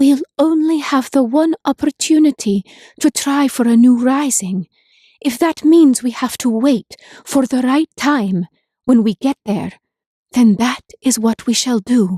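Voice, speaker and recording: At a high pitch and a fairly slow pace, a woman performs in a put-on character voice. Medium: read story. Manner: earnest, determined.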